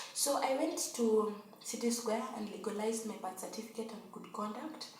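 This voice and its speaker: A woman with a fairly high pitch talks at a moderate pace with fairly even intonation. Both room echo and noticeable background noise are audible. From Kenya. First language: not English (Swahili-speaking). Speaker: vlogger, au pair. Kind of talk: casual tutorial vlog.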